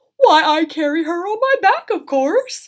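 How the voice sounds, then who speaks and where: A put-on character voice, squeaky and swinging very widely in pitch, delivered at a moderate pace. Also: woman, extremely high pitch for a woman. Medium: read story.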